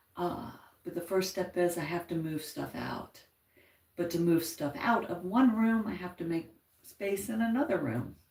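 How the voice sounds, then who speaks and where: Soft-spoken, the woman talks in a fairly low pitch. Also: lively intonation, moderate pace. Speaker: YouTube livestreamer, crafter. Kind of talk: casual live chat. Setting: at home, upstairs.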